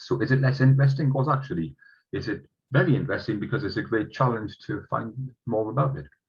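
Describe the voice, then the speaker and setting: A man at medium pitch with a Northeast England accent, vocal fry and a very fast pace. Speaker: entomologist giving a talk. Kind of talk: online lecture. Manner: halting, many fillers.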